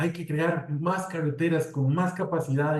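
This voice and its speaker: A man speaks at a moderate pace in a dark, mellow, somewhat breathy tone with fairly even intonation. Room echo is audible. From Costa Rica. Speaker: civil engineer, road safety specialist. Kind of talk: webinar presentation. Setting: online webinar. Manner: conversational, with fillers.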